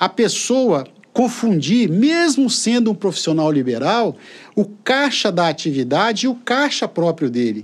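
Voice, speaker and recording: Very wide pitch swings, a fairly slow pace, and very even loudness. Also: man, high pitch for a man. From Brazil, Espírito Santo (Colatina), raised in São Vicente. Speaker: university rector. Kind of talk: interview. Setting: studio.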